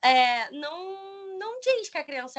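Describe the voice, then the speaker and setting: A woman talks at a very slow pace, her pitch swinging very widely. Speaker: pedagogy student and teacher. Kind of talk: presentation.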